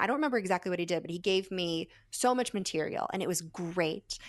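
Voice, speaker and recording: A woman with a normal speaking voice talks at a fairly quick pace and medium pitch against a quiet background. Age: 30s. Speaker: magician. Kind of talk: interview.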